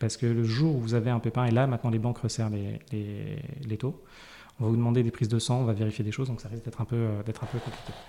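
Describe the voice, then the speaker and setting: A man speaks very fast with a dark, mellow tone. His intonation stays fairly even. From Paris. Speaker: personal finance guest, frugalism advocate. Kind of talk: interview. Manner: hesitant, many fillers.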